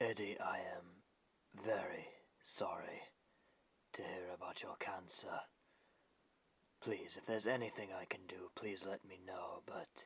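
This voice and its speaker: A man whispers in a cartoonish character voice. He goes at a fairly slow pace with long, frequent pauses. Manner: formal, courteous.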